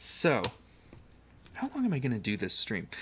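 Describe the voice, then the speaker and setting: The speaker is soft-spoken. He is a man. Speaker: livestreamer. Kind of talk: casual livestream chat while building. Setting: home livestream on camera.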